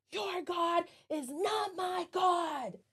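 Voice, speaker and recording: An extremely high pitch in a put-on character voice. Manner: scary.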